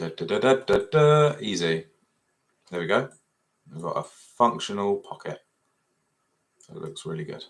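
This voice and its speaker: With an English accent, a man talks at a moderate pace with very wide pitch swings, big swings in loudness and long, frequent pauses. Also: medium pitch for a man. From Essex, England. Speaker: 3D fashion design tutor. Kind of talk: live software tutorial. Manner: casual, thinking aloud.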